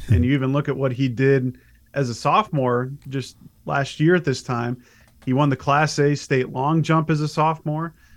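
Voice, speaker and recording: Against a quiet background, a man speaks in an unremarkable speaking voice. His pitch is medium and his pace moderate. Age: 30s. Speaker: sports recruiting reporter. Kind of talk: casual interview.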